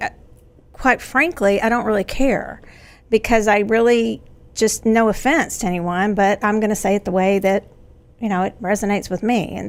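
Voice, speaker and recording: A woman's put-on character voice with a drawling East Texas accent, medium in pitch, at a moderate pace. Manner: Southern drawl.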